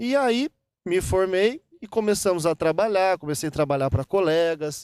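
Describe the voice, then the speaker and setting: On a very clean recording with a silent background, a man talks at a high pitch. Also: dry, close sound with no echo. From Minas Gerais, Brazil (Guaxupé). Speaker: dentist. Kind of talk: interview. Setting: golf club venue. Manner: clear; halting, with repetitions.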